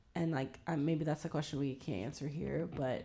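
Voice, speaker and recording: A woman with an American accent speaks at a moderate pace in a very deep, low voice, her tone dark and mellow with vocal fry. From Virginia, Williamsburg area. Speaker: podcast guest. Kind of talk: casual discussion. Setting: in-person recording.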